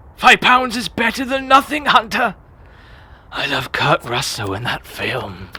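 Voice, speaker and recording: This is a put-on character voice at a fairly high pitch. The pace is moderate. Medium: audio drama. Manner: grumbling, stingy.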